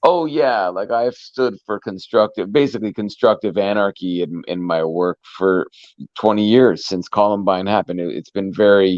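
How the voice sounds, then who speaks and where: A man with a normal speaking voice talks at a moderate pace and fairly low pitch, with ordinary pitch variation. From Canada. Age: 40s. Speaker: musician. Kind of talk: casual interview chat.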